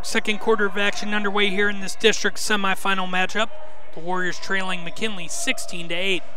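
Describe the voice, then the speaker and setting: Over noticeable background noise, a man with a high pitch talks at a fairly quick pace in a raised, projected voice with ordinary pitch variation. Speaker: sports broadcaster, radio play-by-play announcer. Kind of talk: live radio basketball play-by-play call.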